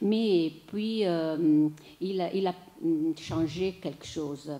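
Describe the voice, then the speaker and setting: A woman with an Italian accent talks at a very slow pace with ordinary pitch variation. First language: Italian (speaking French). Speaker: theatre writer and journalist giving a lecture. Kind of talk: lecture. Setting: lecture hall with audience. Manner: halting, many hesitations.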